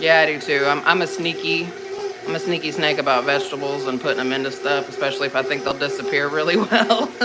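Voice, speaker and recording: A man talks very fast with an American accent, with audible room echo and noticeable background noise. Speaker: home cooking livestreamer. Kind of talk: casual livestream chat.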